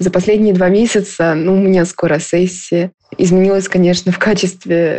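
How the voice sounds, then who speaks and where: A woman speaks with a normal speaking voice at a medium pitch. Her pace is moderate and her intonation fairly even. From Russia. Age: 20s. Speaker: university student. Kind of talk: recorded personal story.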